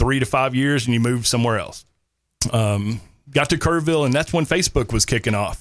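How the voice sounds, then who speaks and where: The speaker talks in a Texan accent with ordinary pitch variation. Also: man. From North Texas. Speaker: army veteran. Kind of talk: casual interview.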